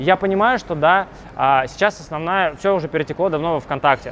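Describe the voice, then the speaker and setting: A man's very fast speech with ordinary pitch variation over noticeable background noise. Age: 20s. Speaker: business blogger. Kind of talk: interview.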